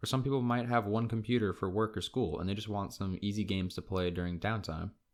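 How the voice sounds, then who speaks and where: On a very clean recording with a silent background, a man with an American accent talks very fast at a fairly low pitch with fairly even intonation. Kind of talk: game review narration.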